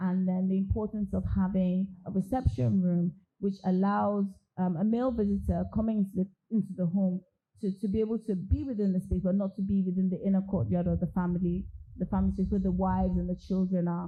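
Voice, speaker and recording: A woman speaks at a very fast pace in a dark, mellow tone, somewhat breathy, at a medium pitch. Her loudness stays very even and her intonation fairly even. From Nigeria, Lagos. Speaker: architect. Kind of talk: interview at a public talk.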